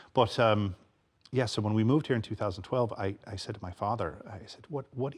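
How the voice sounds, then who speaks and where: A man's fairly low, somewhat breathy voice at a moderate pace, with ordinary pitch variation. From Michigan, US. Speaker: American expat. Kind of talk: TV chat show interview. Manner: halting, many fillers.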